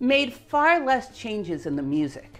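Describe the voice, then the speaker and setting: Faint music sits in the background as a woman speaks at a moderate pace. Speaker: educational video host. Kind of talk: explainer commentary. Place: home room.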